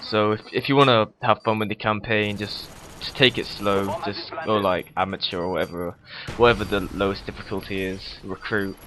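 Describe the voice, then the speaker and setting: Fairly quick speech from a man pitched fairly low, noticeable background noise behind it. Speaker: gaming commentator. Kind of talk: gameplay commentary. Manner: fast; casual, hesitant with fillers.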